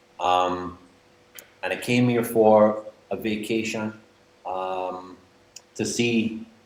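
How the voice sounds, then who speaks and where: Amid audible room echo, a man speaks at a fairly low pitch with long, frequent pauses. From northern England, Manchester. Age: 40s. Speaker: expat guest. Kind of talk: interview. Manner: animated.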